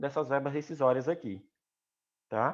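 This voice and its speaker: A man speaks against a quiet background. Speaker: teacher. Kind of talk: lecture. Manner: fast.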